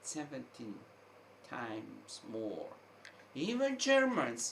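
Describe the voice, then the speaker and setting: A man at a very slow pace over noticeable background noise. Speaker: online commentator. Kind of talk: opinion monologue. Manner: halting, with repetitions.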